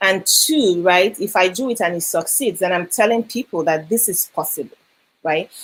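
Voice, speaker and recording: A woman speaks in a Nigerian accent at a moderate pace. Her intonation is lively. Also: medium pitch for a woman. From Nigeria, Lagos. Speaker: educator and editor. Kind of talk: interview. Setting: live video stream.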